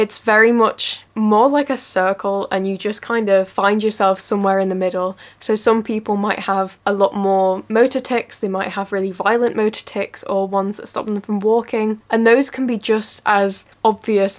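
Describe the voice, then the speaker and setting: A woman talks at a moderate pace. Her intonation is monotone and flat. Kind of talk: casual educational vlog chat. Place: home room.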